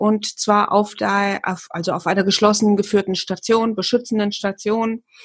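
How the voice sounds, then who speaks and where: Somewhat breathy and flat in intonation, a woman speaks at a moderate pace and medium pitch. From Hesse, near Fulda. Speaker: hypnotherapist, former psychiatric nurse. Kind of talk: casual chat.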